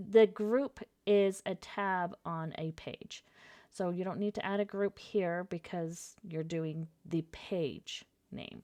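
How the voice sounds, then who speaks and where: A woman's very slow, medium-pitched voice, dark and mellow in tone, with fairly even intonation, a dry, close sound with no echo, and a very clean recording over a silent background. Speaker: software tutorial presenter. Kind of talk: screen-recorded software tutorial.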